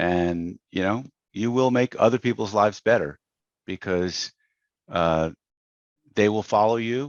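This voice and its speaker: A man with a fairly low pitch speaks fairly slowly, taking long, frequent pauses, with ordinary pitch variation. The sound is dry and close with no echo, over a quiet background. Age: 60s. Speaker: business coach. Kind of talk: podcast interview. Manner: conversational, many fillers.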